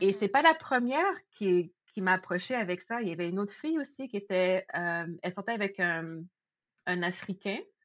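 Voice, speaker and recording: At a moderate pace, a woman talks in an unremarkable speaking voice at medium pitch with lively intonation. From Quebec, Laval (Montreal area). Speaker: podcast guest. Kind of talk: casual chat.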